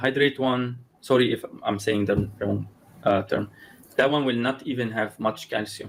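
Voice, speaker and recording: In a non-native accent, a man speaks at medium pitch and a moderate pace with fairly even intonation. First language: not English. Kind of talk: conversational interview. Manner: halting, with many repetitions and restarts.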